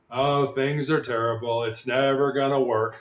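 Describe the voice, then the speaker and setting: A man puts on a character voice at a medium pitch. He keeps a moderate pace. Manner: gloomy, droopy.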